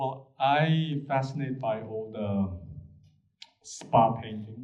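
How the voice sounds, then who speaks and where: A man's medium-pitched, somewhat breathy voice at a very slow pace, ordinary pitch variation, audible room echo. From South Korea. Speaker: artist, panelist. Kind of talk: panel discussion. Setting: gallery with audience. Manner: halting.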